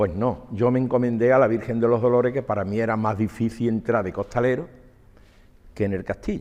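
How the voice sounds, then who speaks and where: Speaking with an Andalusian accent, a man moves at a fairly quick pace with fairly even intonation. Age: 70s. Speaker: former costalero and capataz. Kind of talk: interview testimony. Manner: repetitive, halting.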